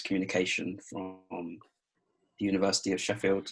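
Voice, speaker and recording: This man has a southern English accent, a fairly low pitch and a monotone, flat intonation. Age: 20s. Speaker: adult with muscular dystrophy, interviewee. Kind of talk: interview. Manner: hesitant, many fillers.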